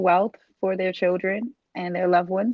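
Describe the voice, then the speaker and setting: Speaking in a Baltimore accent, a woman keeps a moderate pace, a medium pitch and fairly even intonation. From US, Baltimore. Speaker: dispatch trainer and business owner. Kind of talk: sales pitch. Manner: casual with frequent fillers.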